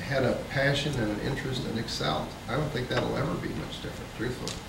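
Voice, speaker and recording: Speaking fairly quickly at a medium pitch with ordinary variation, a man is heard with audible room echo and noticeable background noise. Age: 50s. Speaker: nonprofit veteran and teacher, panelist. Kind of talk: panel discussion.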